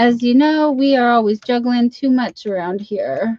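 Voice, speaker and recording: High pitch and ordinary pitch movement in a woman's voice. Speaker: livestream host. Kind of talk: casual livestream chat.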